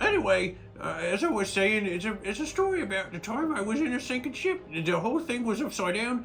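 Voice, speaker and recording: Putting on a character voice, a man speaks high for a man at a fairly quick pace against clear background noise. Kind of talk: character vlog monologue. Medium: solo performance. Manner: rambling, hesitant, full of filler words.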